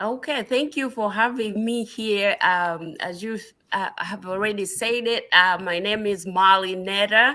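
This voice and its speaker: The voice has a bright, sharp tone, a fairly slow pace and ordinary pitch variation. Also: woman, medium pitch for a woman. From Southern Africa. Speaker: nurse practitioner and researcher. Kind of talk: interview. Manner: halting, many fillers.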